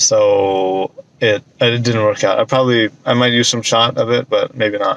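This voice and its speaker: The voice keeps a moderate pace and very even loudness, with a dry, close sound and no echo. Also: man. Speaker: vlogger. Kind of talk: casual vlog monologue. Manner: soft-spoken.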